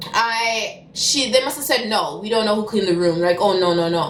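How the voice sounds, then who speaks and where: This woman's pitch varies in an ordinary way while noticeable background noise carries on around her. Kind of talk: casual story time to camera. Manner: fast.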